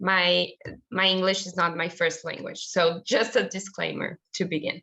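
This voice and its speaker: A woman talks in a Brazilian Portuguese accent, her voice fairly low with fairly even intonation. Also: moderate pace. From southern Brazil. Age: 20s. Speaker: nonprofit director, youth activist. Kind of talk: presentation. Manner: non-fluent English.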